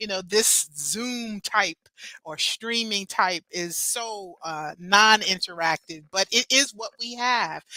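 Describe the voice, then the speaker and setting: A woman's bright, sharp tone comes through with ordinary pitch variation in a dry, close sound with no echo. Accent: American. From New Jersey. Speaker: festival producer. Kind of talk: online welcome presentation. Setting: video stream. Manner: animated.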